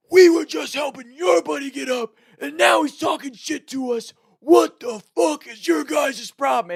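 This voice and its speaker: A man's shouting, raspy put-on character voice at an extremely high pitch, with very wide pitch swings and a dry, close sound with no echo. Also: moderate pace, big swings in loudness. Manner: raging, aggressive, shouting.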